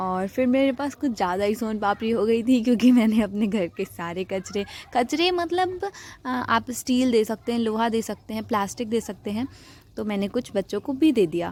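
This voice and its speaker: Her intonation lively, a woman speaks with a fairly high pitch. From rural north India, village. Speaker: vlogger. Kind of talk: vlog voice-over narration. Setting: rooftop outdoors.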